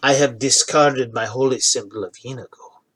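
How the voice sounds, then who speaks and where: At a medium pitch, a man performs in a put-on character voice. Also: fairly quick pace. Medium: actual play. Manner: earnest, confiding.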